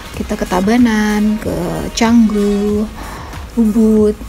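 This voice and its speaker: Amid noticeable background noise, a woman is whispering quietly. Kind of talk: casual vlog talk to camera. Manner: whispery, quiet.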